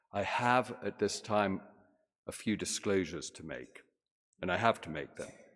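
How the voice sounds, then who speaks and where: A British accent with big swings in loudness, a moderate pace, long and frequent pauses, and ordinary pitch variation. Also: man, fairly low pitch for a man. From Britain. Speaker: physician and scientist, guest speaker. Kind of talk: sermon.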